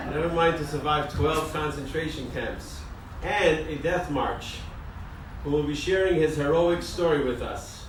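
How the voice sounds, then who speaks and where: A man's fairly slow, flat monotone at a fairly high pitch, with noticeable background noise. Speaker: rabbi, community center director. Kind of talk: event introduction speech.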